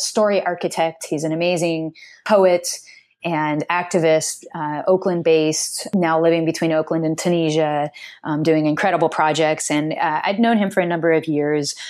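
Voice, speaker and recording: In a plain, everyday voice, a woman with an American accent talks at a moderate pace and fairly low pitch with fairly even intonation, on a very clean recording with a silent background. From US Pacific Northwest (Seattle area). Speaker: dance company artistic director and choreographer. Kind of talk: interview.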